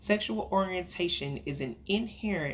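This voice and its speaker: Speaking at a moderate pace with lively intonation, a woman with an American accent is heard with audible room echo. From Texas, Dallas. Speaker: counselor. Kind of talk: lecture.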